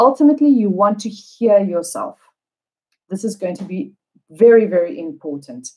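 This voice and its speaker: With a South African accent, a woman speaks at a moderate pace and medium pitch, her tone dark and mellow. Her pitch swings very widely, and she leaves long, frequent pauses. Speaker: English teacher. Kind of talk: live online lesson. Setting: livestream.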